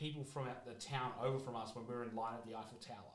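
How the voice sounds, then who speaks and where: With an Australian accent, a man speaks at medium pitch with fairly even intonation amid audible room echo. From Australia, Melbourne. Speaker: card break streamer. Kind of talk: casual chat.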